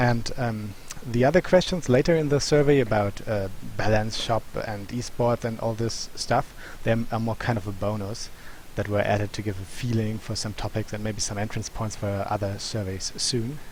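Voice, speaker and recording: A man speaks with a non-native accent at a fairly low pitch. His voice is somewhat breathy. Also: ordinary pitch variation, moderate pace. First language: not English. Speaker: gaming YouTuber presenting survey results. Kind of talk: commentary on survey results. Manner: halting, many fillers.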